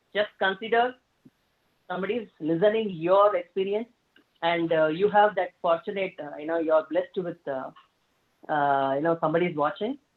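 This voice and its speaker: A woman at a fairly low pitch with ordinary pitch variation, a moderate pace and long, frequent pauses. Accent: American. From South India. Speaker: motivational speaker. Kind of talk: interview Q&A. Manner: hesitant, many fillers.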